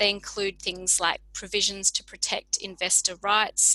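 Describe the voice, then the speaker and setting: With an Australian accent, a woman with a bright, sharp tone speaks at a fairly slow pace. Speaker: public health researcher. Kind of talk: lecture. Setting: video call.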